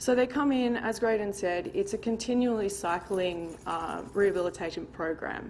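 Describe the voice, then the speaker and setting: A woman speaks with lively intonation. She leaves hardly any pauses. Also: fairly high pitch for a woman, moderate pace. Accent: Australian. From Australia. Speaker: college student. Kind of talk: short impromptu speech. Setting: board meeting with audience.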